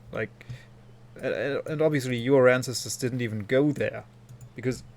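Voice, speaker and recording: Flat, monotone intonation in a man's mid-range voice. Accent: German. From Germany. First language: German. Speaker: video game streamer. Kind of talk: live stream commentary, casual chat with viewers.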